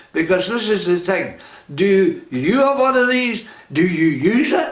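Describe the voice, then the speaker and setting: In a Scottish accent, a man talks at a fairly slow pace in a high pitch with very wide pitch swings and very even loudness, with noticeable background noise and audible room echo. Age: 80s+. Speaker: vlogger. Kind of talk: direct-to-camera monologue.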